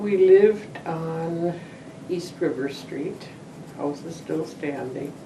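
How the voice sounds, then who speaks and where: With noticeable background noise behind her, a woman in an American accent talks at a very slow pace, her fairly low pitch showing ordinary pitch variation and big swings in loudness. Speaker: retired teacher. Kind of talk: interview answer.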